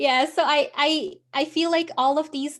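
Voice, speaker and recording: A woman with a non-native accent in a very clean recording with a silent background. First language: not English. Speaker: business coach. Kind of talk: interview. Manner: halting.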